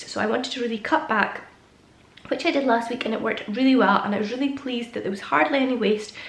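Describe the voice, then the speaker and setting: In a Scottish accent, a woman talks at a very fast pace and a fairly high pitch with ordinary pitch variation, with noticeable background noise and audible room echo. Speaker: stay-at-home mum vlogger. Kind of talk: casual vlog talk to camera.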